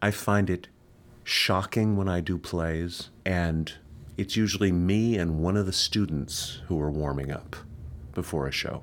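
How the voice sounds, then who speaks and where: Speaking at a fairly slow pace, a man talks in a very deep, low pitch. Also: ordinary pitch variation. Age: 50s. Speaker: stage actor. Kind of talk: casual chat.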